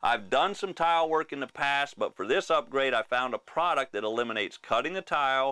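The background is quiet as a man speaks at a fairly quick pace. He leaves hardly any pauses. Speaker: RV show host. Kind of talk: tutorial. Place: home room. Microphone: lapel.

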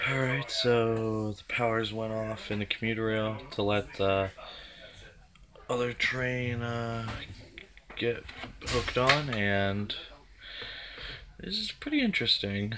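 Over loud background noise, a man speaks at a very slow pace with long, frequent pauses and ordinary pitch variation. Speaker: commuter vlogger. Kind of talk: casual vlog chat. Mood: mildly annoyed, amused. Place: train. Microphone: phone near.

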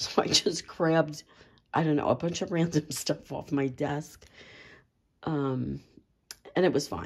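A woman's very deep, low voice carries vocal fry and fairly even intonation. She leaves long, frequent pauses. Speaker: journaling and stationery hobbyist. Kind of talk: casual talk to camera.

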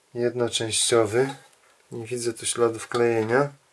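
A man is speaking. Music plays in the background. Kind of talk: tutorial. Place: workshop. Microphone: camera far.

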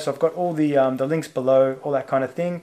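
With an Australian accent, a man talks at a fairly quick pace in a fairly high pitch and a monotone, flat intonation. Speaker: YouTube channel creator. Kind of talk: solo video monologue commenting on on-screen material. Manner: casual with many filler words. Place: home room.

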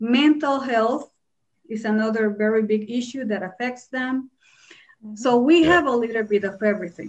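A woman with a Spanish accent and a fairly high pitch speaks at a moderate pace against a quiet background. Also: ordinary pitch variation. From Puerto Rico. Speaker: Spanish teacher. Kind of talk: panel discussion. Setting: video call. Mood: earnest, somber. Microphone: video call.

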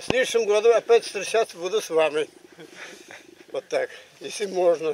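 A man speaks in a high pitch at a moderate pace, taking long, frequent pauses, with ordinary pitch variation. The sound is dry with no echo, with light background noise. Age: 80s+. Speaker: war veteran, former tank driver. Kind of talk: casual conversation. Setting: outdoors. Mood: warm, smiling. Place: open country.

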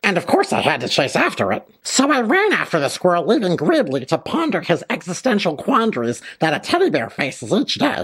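At a moderate pace, the speaker performs a cartoonish character voice. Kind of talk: children's puppet comedy. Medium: puppet show. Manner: excitable, breathless, rambling.

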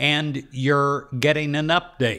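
With a quiet background behind him, the man's tone comes across bright and sharp. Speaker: meditation leader. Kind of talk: guided prayer meditation. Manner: calm, slow, reassuring; earnest, affirming, with pauses for silence. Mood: calm, warm, earnest. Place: studio. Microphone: studio mic.

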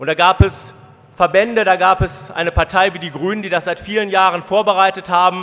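A man's high voice, monotone and flat, at a moderate pace. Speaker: politician. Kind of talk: party conference speech; political convention speech. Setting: stage with audience. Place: hall. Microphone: podium.

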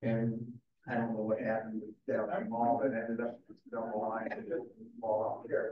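A man's unremarkable speaking voice, fairly even in intonation, at a moderate pace. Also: medium pitch for a man. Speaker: museum event moderator. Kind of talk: panel discussion. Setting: stage with audience.

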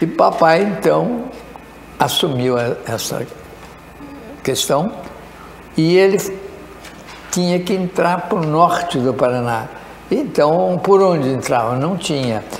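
A man with a high pitch and lively intonation at a very slow pace, with long, frequent pauses, audible room echo and light background noise. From Brazil, São Paulo state (Itararé); São Paulo state, Brazil. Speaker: retired mining engineer; interview guest. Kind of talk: interview storytelling. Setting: studio. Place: studio. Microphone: lapel.

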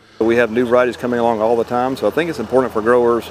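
Very fast speech comes through dry with no echo over noticeable background noise. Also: man. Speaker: university professor. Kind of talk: interview answer. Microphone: lapel.

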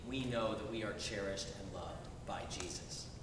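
At a fairly slow pace, the voice comes through with audible room echo and light background noise. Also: man. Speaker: Episcopal bishop. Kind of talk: sermon. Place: church.

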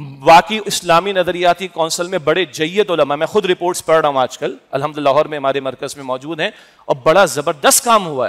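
Against a quiet background, a man with a high pitch talks at a fairly quick pace with ordinary pitch variation and big swings in loudness. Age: 50s. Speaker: preacher. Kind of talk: sermon. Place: hall. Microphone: headset.

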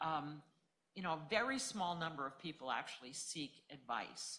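A woman speaks at a low pitch with lively intonation. Her tone is bright and sharp.

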